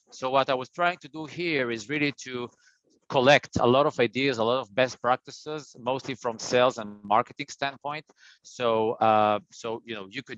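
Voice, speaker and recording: Moderate pace and ordinary pitch variation in an Israeli accent, with a dry, close sound, no echo, and a quiet background. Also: man. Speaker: printing industry business development presenter. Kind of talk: business webinar presentation. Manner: hesitant, many fillers and repeats.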